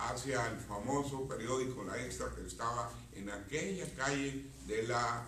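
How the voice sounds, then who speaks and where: Amid noticeable background noise and audible room echo, a man speaks at a medium pitch and a fairly slow pace. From Mexico, La Paz, Baja California Sur. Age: 60s. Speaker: professor and political activist. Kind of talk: interview. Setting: live broadcast from a hotel hall.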